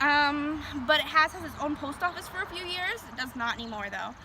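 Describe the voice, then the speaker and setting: The voice is raised and projected at a fairly quick pace, with noticeable background noise behind it. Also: woman. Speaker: tour guide. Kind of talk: guided tour talk. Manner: fast; not loud.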